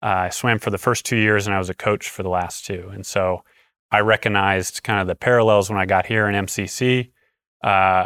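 A plain, everyday voice from a man, fairly low in pitch and fairly quick, on a very clean recording with a silent background. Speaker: flight director. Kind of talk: casual chat. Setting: studio.

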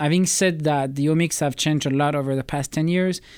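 On a very clean recording with a silent background, a man with a fairly high pitch and a French accent talks at a very fast pace. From France. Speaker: space biology project manager. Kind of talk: interview. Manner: halting.

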